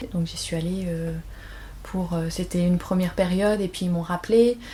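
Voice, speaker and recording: A woman talks at a moderate pace in a fairly low pitch. Her tone is dark and mellow and somewhat breathy. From France. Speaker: aspiring actress, former pharmacist. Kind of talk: interview. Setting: at home. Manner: hesitant, many fillers.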